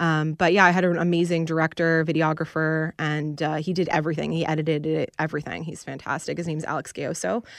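A woman with a very deep, low pitch talks very fast in a monotone, flat intonation with hardly any pauses. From Canada, Peterborough, Ontario. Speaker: country singer. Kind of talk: radio interview.

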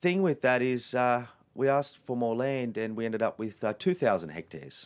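A man with an Australian accent talks at medium pitch with ordinary pitch variation. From Western Sydney, Australia. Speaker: wildlife conservationist and TV presenter. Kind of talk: interview conversation. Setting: in person.

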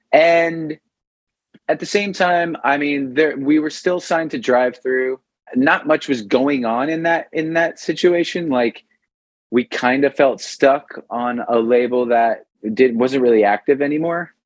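A man speaks at a fairly high pitch and a fairly slow pace. His pitch varies an ordinary amount. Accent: New York. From New York, Long Island. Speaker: punk rock vocalist. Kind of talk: casual interview. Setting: at home kitchen, remote call.

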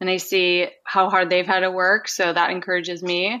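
Over a quiet background, the tone comes across bright and sharp. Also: woman. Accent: Minnesota. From Minnesota. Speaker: amateur marathon runner. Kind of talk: interview conversation.

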